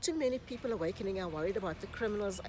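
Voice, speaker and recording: Here a woman uses a plain, everyday voice. Her pitch is medium, with lively intonation. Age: 60s. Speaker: YouTuber and relationship coach. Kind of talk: casual vlog monologue.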